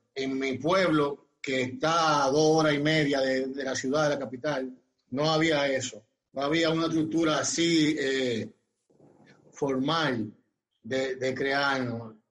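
A man speaks with a Dominican accent at a very slow pace. His voice is fairly high, with fairly even intonation. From Dominican Republic, Barahona. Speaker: former pro baseball player. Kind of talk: interview. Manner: halting.

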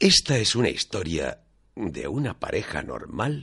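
A man is speaking. He goes at a very slow pace. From Valencia region, Manises. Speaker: radio host. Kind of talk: scripted narration; radio magazine presenting.

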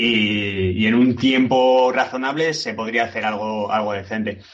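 A normal speaking voice from a man, medium-pitched and at a moderate pace. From Alicante, Spain. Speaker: game programmer and designer. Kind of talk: casual interview.

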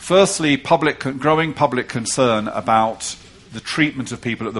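A man speaks with an English accent at a moderate pace. His pitch variation is ordinary. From England. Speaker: policy report author. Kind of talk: panel conversation.

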